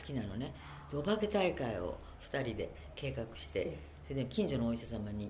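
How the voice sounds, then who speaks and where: Speaking at a fairly quick pace, a woman is heard through audible room echo and noticeable background noise. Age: 70s. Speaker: interviewee, Japanese expatriate author. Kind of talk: interview.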